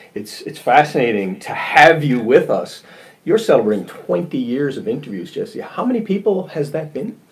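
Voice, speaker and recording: A man talks at a fairly quick pace with very wide pitch swings. Noticeable background noise can be heard. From Newfoundland, St. John's east end. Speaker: podcast host. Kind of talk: interview. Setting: video call.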